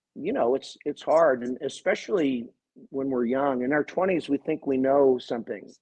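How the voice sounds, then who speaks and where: A man's fairly high pitch at a moderate pace with ordinary pitch variation. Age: 50s. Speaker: college swim coach. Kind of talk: interview. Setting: podcast interview. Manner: halting, many repeated words.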